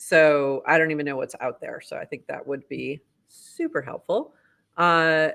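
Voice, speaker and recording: A woman speaks with a slight Boston accent. The recording is very clean, with a silent background. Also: moderate pace, big swings in loudness. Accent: Boston accent, slipping in slightly. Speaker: podcast host. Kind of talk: casual chat, news roundup. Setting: livestream.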